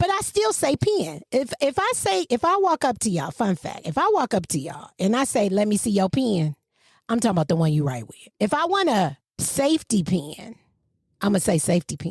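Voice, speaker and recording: In a very clean recording with a silent background and a dry, close sound with no echo, a woman with a slight Southern US accent talks at a fairly quick pace in an animated tone, somewhat breathy, with very wide pitch swings. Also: medium pitch for a woman. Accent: slightly Southern. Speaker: podcast co-host. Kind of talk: casual chat.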